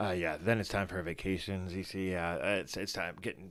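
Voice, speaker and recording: A man with a very deep, low voice speaks at a fairly quick pace in a flat monotone. The recording is very clean, with a silent background. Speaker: fantasy football show host. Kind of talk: casual live stream chat. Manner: halting, many fillers.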